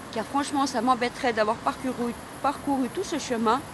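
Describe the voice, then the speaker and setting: Over noticeable background noise, a woman talks at a moderate pace. Her pitch is high, with ordinary variation. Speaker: wellness vlogger. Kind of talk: personal testimony vlog.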